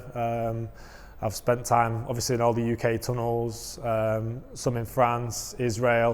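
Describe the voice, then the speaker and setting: This man has a strong Mancunian accent and a medium-pitched voice. His intonation is monotone and flat. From northern England, Manchester (Wythenshawe). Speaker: wind tunnel flying instructor trainer. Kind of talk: casual interview.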